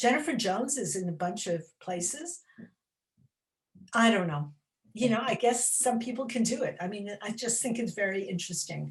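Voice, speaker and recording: A woman talks at a moderate pace with a fairly high pitch. Her voice is somewhat breathy. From US, New York City. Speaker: children's author. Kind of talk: interview chat. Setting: library event. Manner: animated.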